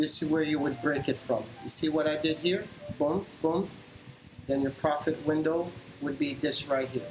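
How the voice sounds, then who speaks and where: Over music in the background, the speaker goes at a fairly slow pace with very even loudness and long, frequent pauses. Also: man. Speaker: stock trader streamer. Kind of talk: live trading tutorial.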